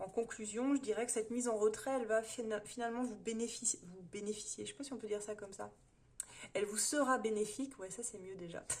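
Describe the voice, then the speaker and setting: A woman's fairly high-pitched voice at a very fast pace, with fairly even intonation and big swings in loudness. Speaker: tarot reader. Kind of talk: tarot reading monologue. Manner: hesitant, many fillers.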